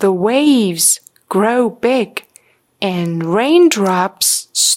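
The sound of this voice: An unforced reading voice with lively intonation and a quiet background.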